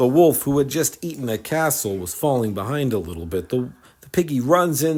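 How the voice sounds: A natural reading voice carries lively intonation.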